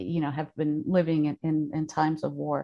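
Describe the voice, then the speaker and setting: Speaking at a fairly slow pace, a woman has a very deep, low pitch. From Afghanistan (Kabul), raised in Thailand and Kenya. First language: Dari (Farsi). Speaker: refugee-support consultant. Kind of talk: radio interview. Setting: studio.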